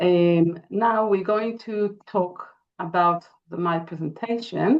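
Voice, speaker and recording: At a very slow pace, a woman speaks with an Israeli accent, her medium pitch showing ordinary variation. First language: Hebrew. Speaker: interior designer and architect. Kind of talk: webinar presentation. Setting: online webinar.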